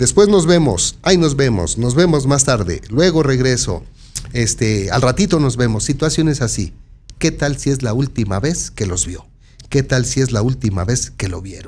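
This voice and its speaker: At a moderate pace, a man with a central Mexican accent talks with very wide pitch swings. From Mexico, San Martín Texmelucan, Puebla; Puebla, Mexico. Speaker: local news presenter; news presenter. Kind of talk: news commentary. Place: studio. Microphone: studio mic.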